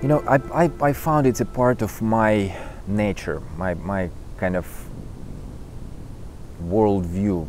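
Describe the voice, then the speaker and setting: A man speaks at a very slow pace with long, frequent pauses. His pitch is fairly low. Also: lively intonation. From Ukraine. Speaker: conductor. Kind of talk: interview answer.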